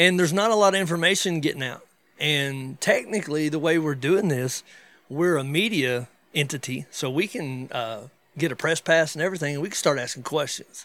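A man with an American accent speaks at a fairly quick pace in a plain, everyday voice, his fairly high pitch showing ordinary variation on a very clean recording with a silent background. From western North Carolina. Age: 40s. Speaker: podcast host. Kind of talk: casual chat.

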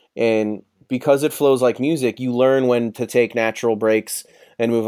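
Using an unremarkable speaking voice, a man with an American accent speaks at a moderate pace in a medium pitch with fairly even intonation and a dry, close sound with no echo. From Chicago, South Side. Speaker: author. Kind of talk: casual interview. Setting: remote from his office.

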